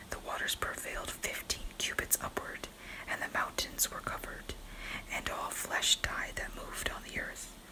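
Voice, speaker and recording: Whispering over noticeable background noise. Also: moderate pace. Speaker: ASMR Bible reader. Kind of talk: Bible reading. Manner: whispered.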